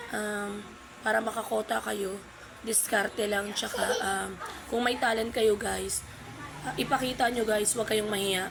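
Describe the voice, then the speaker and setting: The speech moves at a fairly slow pace in a monotone, flat intonation. Noticeable background noise and audible room echo fill the recording. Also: woman, fairly high pitch for a woman. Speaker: vlogger, live streamer. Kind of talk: casual tutorial vlog. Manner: halting, many fillers.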